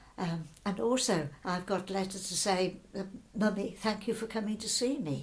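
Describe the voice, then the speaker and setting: A woman's somewhat breathy voice sits at medium pitch, moving at a moderate pace with ordinary pitch variation. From Birmingham, England. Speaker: wartime evacuee. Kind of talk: oral history interview answer.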